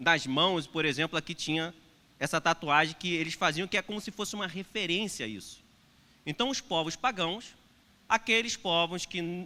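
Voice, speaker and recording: A man speaks at a moderate pace in a high pitch with a bright, sharp tone. His intonation is lively, and the recording is very clean with a silent background. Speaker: pastor. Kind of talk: sermon. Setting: church. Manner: hesitant with fillers. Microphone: unfamiliar new microphone.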